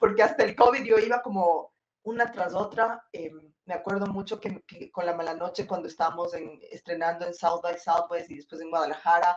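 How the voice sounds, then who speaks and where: A woman with an ordinary speaking voice talks at a moderate pace in a fairly low pitch, with ordinary pitch variation, big swings in loudness and hardly any pauses. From Ecuador. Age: 40s. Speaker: film director. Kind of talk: interview.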